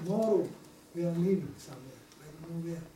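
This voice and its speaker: Audible room echo surrounds a man speaking at a moderate pace in a high voice. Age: 80s+. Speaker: Holocaust survivor. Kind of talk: testimony. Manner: halting.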